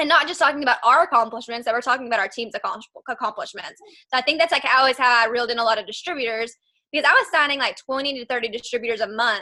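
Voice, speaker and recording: A woman's high, bright, sharp voice with ordinary pitch variation, at a very fast pace. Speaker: network marketing distributor. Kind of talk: video call interview. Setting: video call. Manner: animated.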